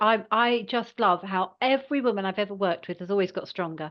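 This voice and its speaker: This is a woman with an unremarkable speaking voice. Her pitch sits at a medium level. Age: 60s. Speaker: personal trainer and fitness tutor. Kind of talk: interview answer.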